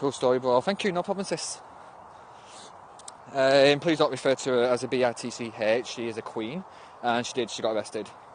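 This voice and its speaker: With a northwest English accent, a man talks at a fairly quick pace but with long, frequent pauses. His pitch is medium, with ordinary variation. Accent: northern English, northwest. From northwest England. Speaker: livestreamer. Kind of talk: casual livestream chat. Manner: animated, halting.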